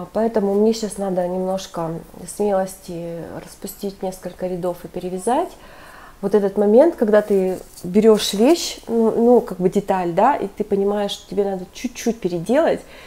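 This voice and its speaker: A woman speaks at a moderate pace, her pitch varying in an ordinary way. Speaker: knitting vlogger. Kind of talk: casual vlog. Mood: warm, enthusiastic. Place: home room. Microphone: earbuds.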